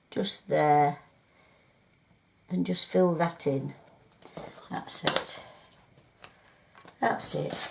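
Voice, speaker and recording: Noticeable background noise is present. A woman speaks at a very slow pace. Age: 70s. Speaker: crafter. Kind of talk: crafting tutorial. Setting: home craft room. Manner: chatty, hesitant with fillers.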